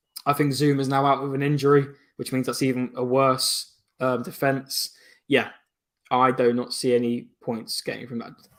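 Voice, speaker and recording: A man's medium-pitched voice with an English accent, monotone and flat, at a moderate pace. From England. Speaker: football podcast panelist. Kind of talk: casual chat.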